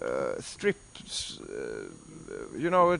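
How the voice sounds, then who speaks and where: A man with a non-native accent. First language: Swedish. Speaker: heavy metal musician. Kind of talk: interview. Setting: backstage before a gig. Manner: halting.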